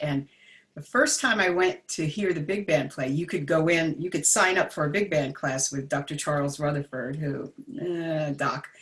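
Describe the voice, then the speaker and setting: A woman with an American accent speaks at a moderate pace in a very deep, low pitch. Her voice is somewhat breathy, with ordinary pitch variation. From New Jersey, US. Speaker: jazz vocalist and vocal coach. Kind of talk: interview. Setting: livestream video.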